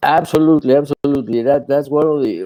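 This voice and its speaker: The voice has a dark, mellow tone and a strong Spanish accent. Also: man, dry, close sound with no echo. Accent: thick Spanish. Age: 70s. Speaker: attorney and court interpreter, author. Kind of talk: podcast interview. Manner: halting, many repetitions.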